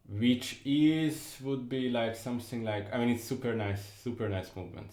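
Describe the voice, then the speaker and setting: Audible room echo surrounds a man speaking with a Hungarian accent. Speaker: music commentator. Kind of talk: music analysis talk. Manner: halting, with fillers and repetitions.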